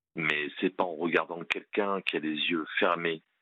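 A man's very deep, low voice in a monotone, flat intonation at a fairly slow pace. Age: 50s. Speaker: police officer calling a radio show. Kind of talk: phone-in testimony. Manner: halting, many hesitations.

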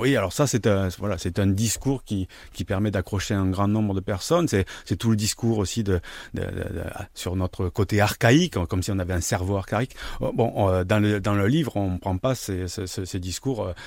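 A man speaks with a fairly low pitch at a moderate pace, his pitch varying in an ordinary way, on a very clean recording with a silent background. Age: 50s. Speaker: sociologist. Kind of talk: radio interview. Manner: halting, many repetitions.

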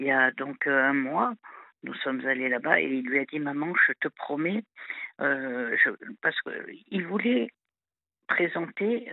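A woman speaks at a very slow pace. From southern France. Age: 50s. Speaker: caller. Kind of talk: phone-in confession. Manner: halting.

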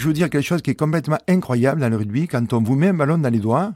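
A man's dark, mellow tone with lively intonation, on a very clean recording with a silent background. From southwest France, rural village. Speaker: former rugby player turned entrepreneur. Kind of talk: testimony. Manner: hesitant, filler-heavy.

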